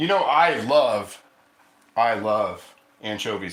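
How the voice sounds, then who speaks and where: Over noticeable background noise, a man with an Ohio accent talks at a medium pitch. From Ohio, US. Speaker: cast iron cooking streamer. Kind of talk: live stream cooking chat. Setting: live stream. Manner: halting, many restarts and fillers.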